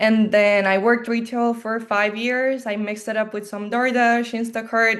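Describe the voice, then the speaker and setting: A woman with a Colombian accent, fairly high in pitch, with monotone, flat intonation and a quiet background. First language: Spanish. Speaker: life insurance agent. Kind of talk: video call interview.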